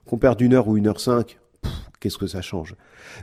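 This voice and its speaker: Fairly quick speech from a man, somewhat breathy, with a dark, mellow tone, on a very clean recording with a silent background. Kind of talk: podcast talk on prayer. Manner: fast.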